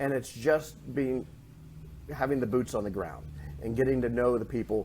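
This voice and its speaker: A man with a northwest Pennsylvania accent and a dark, mellow tone speaks at a moderate pace with lively intonation and vocal fry. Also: medium pitch for a man. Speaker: chamber of commerce president, former newspaper editor. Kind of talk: podcast interview.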